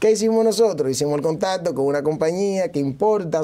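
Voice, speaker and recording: The voice has a dark, mellow tone with a Dominican accent. Its pitch variation is ordinary. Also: man. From Dominican Republic, Santo Domingo; Dominican Republic. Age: 30s. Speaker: mayoral candidate; candidate. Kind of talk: TV interview. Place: studio. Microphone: lapel.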